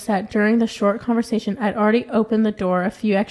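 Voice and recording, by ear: Someone reads aloud in a natural voice.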